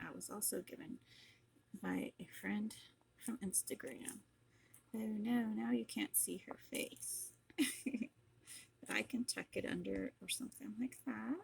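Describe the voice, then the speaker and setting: Soft-spoken and relaxed in tone, a woman talks at a fairly slow pace with long, frequent pauses. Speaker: crafter and online seller. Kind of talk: craft tutorial. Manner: relaxed and slow.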